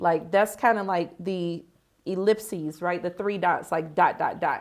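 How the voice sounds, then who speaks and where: An unremarkable speaking voice, this woman's is medium in pitch, fairly even in intonation and fairly slow, with an American accent, on a very clean recording with a silent background. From United States. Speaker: author and marketing vlogger. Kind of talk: casual vlog talk to camera. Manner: relaxed, many fillers (um, like).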